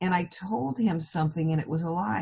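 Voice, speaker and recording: A woman's dark, mellow tone with vocal fry. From California, US. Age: 70s. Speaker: hypnotherapist. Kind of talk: interview.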